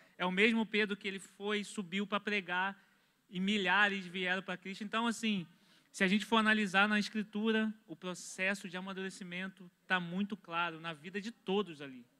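A man's high, raised and projected voice, bright and sharp in tone, at a moderate pace with fairly even intonation. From Brazil. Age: 20s. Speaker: church member, construction worker; pastor, panel member. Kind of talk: religious discussion. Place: studio. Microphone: handheld.

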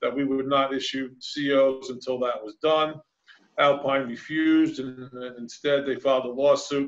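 A man's flat, monotone voice at a moderate pace against a quiet background. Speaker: official at a council meeting. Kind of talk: formal report at a public meeting. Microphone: video call.

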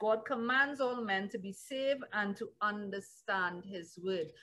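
Fairly slow pace and ordinary pitch variation from an ordinary speaking voice. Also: woman. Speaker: pastor. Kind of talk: sermon, Bible teaching. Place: home room. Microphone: webcam.

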